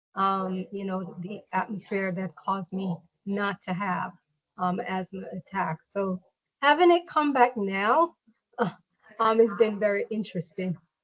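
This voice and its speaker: Somewhat breathy and medium in pitch, a woman speaks at a fairly slow pace with ordinary pitch variation and big swings in loudness, the sound dry and close with no echo. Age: 50s. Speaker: patient. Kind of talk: interview.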